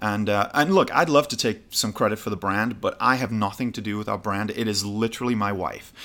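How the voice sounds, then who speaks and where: With a British accent and a bright, sharp tone, a man speaks at a moderate pace with ordinary pitch variation in a very clean recording with a silent background. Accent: British, noticeably non-American. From northern England, Newcastle. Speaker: gin distiller and travel show host. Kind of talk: casual interview. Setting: trade show.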